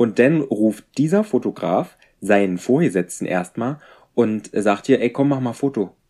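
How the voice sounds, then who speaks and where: Lively intonation and a dark, mellow tone come through at a fairly slow pace in a very clean recording with a silent background. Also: man, medium pitch for a man. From rural Germany. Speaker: podcast co-host and horse owner. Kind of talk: casual chat. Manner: animated.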